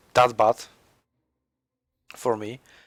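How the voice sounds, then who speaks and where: In a Polish accent, a man talks at a medium pitch. His intonation is fairly even. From Poland. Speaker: gaming commentator. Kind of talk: gameplay commentary. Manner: halting.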